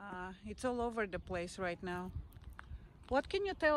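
A woman with a medium pitch speaks at a moderate pace with lively intonation, in a dry recording with no echo and light background noise. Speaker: vlogger. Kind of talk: casual walking vlog narration. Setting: outdoors on a walk. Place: open country. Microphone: lapel.

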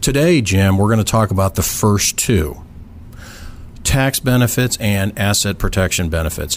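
With an American accent and an unremarkable speaking voice, a man talks at a moderate pace and a fairly low pitch, his loudness very even. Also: lively intonation. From southern California. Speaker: real estate attorney. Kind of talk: interview. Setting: studio.

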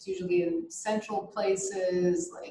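A woman speaks very slowly in a somewhat breathy voice. Light background noise and audible room echo surround her. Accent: American. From Israel, raised partly in US (Georgia) and Europe. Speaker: artist. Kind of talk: interview. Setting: video call. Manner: hesitant, many fillers. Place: home room. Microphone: video call.

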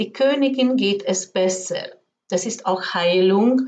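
The woman's voice sits at a medium pitch. It varies in pitch in an ordinary way. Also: slightly mellow tone.

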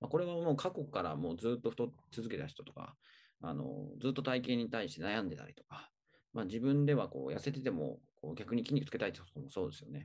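A man with a medium-pitched voice and vocal fry talks at a very fast pace, his pitch swinging very widely and his loudness rising and falling sharply. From Tokyo. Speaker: personal trainer. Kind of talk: tutorial. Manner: hesitant, many fillers.

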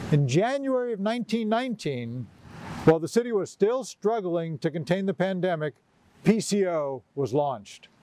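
A man speaks at a fairly slow pace in a dark, mellow tone. His pitch swings very widely, and the sound is dry with no echo. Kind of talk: commencement speech. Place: garden.

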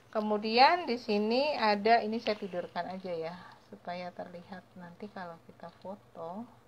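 Over light background noise, a woman talks at a fairly slow pace with ordinary pitch variation, big swings in loudness and hardly any pauses. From Indonesia. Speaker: small business owner teaching homemade cleaning products; home detergent business tutor. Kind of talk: tutorial. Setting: live stream. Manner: hesitant, many fillers. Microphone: phone near.

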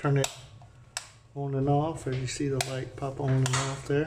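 Here a man speaks with an American accent. Noticeable background noise is present. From Indiana, US Midwest. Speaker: vlogger and rental home owner. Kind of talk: tutorial. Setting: indoors at rental house kitchen. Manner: casual, with fillers. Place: kitchen. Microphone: phone near.

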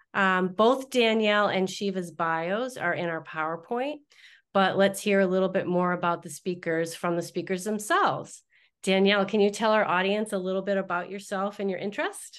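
A woman at a moderate pace with fairly even intonation, over a quiet background. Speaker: webinar host. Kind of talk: webinar introduction. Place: office. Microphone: video call.

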